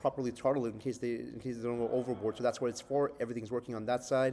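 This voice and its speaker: Fairly even in intonation, a man speaks at a medium pitch with a dark, mellow tone. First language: not English. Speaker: software developer in training program. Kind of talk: project demo update. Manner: halting, many fillers; casual.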